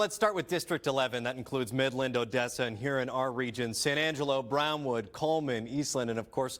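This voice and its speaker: In a normal speaking voice with ordinary pitch variation, the speaker goes at a fairly quick pace with hardly any pauses, on a very clean recording with a silent background. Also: man, medium pitch for a man. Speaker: morning news anchor. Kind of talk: TV news anchor delivery.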